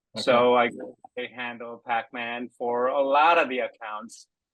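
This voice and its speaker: He is a man speaking with a Korean accent. His pace is very slow. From Korea, then Seattle area from age 13. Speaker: golf course designer for simulator software. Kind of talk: interview. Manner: halting, many fillers.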